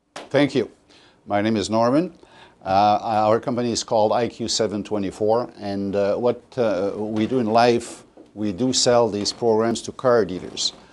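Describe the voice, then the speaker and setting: A man with a Quebec accent speaks at a moderate pace with a medium pitch and fairly even intonation. The background is quiet. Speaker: sales presenter. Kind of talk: sales presentation to an audience. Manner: halting, many fillers and restarts.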